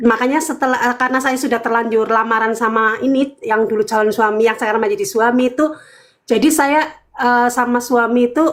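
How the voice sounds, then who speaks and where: Very fast and very even in loudness, this woman's high-pitched voice shows ordinary pitch variation. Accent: Banyumas. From Cilacap, Central Java, Indonesia. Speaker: caller, convert from Islam to Christianity. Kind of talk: testimony.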